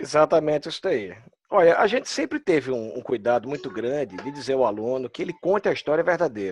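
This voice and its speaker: With lively intonation and a Pernambuco accent, a man speaks at a moderate pace in a dry, close sound with no echo. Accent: Pernambuco Brazilian Portuguese. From Brazil, Pernambuco. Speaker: immigration consultant. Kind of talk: casual chat. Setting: video call.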